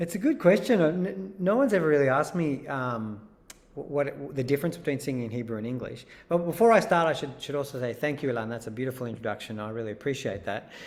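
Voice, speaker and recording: Talking at a very fast pace, a man with an Australian accent uses a fairly high pitch with very wide pitch swings. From Israel, moved to Australia at ten. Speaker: singer-songwriter. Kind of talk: interview. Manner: halting, many repeats.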